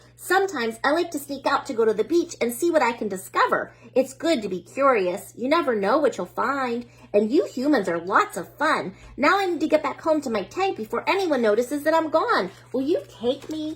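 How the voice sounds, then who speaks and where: A woman's put-on character voice, high-pitched and at a fairly quick pace. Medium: read story. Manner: prim, proper.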